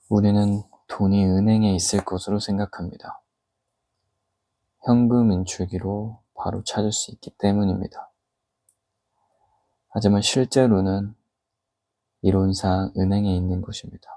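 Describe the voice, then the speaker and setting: Speaking at a fairly slow pace with long, frequent pauses, a man uses a fairly low pitch, a dark, mellow tone and monotone, flat intonation. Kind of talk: book reading aloud, ASMR. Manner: normal speaking voice, reading aloud, slightly louder.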